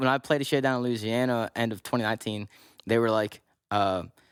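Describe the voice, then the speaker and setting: In a Southern US accent, a man talks at a fairly quick pace and medium pitch with ordinary pitch variation, the recording very clean with a silent background and a dry, close sound with no echo. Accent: Southern-sounding. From Pittsburgh.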